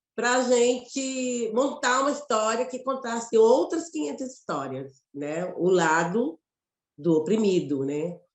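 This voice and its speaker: A woman speaks with a Mato Grosso accent. Her pitch is fairly high. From Mato Grosso, Brazil. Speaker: actress and poet. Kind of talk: interview conversation. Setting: web radio live.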